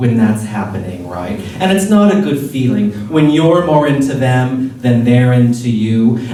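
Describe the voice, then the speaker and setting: A playful tone at a fairly slow pace, with hardly any pauses and noticeable background noise. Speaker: drag performer. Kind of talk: live spoken word storytelling. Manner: campy, playful, witty.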